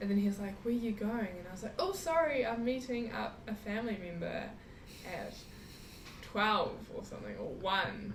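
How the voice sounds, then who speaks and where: A woman talks at a fairly high pitch. Room echo is audible, and background noise is noticeable. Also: ordinary pitch variation, moderate pace. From New Zealand. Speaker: traveller. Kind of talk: casual chat.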